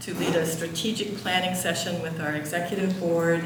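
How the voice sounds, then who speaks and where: A woman speaks at a moderate pace and fairly low pitch with monotone, flat intonation. Noticeable background noise and audible room echo fill the recording. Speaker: board member. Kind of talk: formal report speech. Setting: church meeting with audience. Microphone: too far from mic at first.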